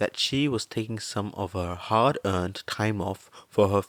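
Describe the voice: The clip is plain reading aloud. It is delivered as a simple read.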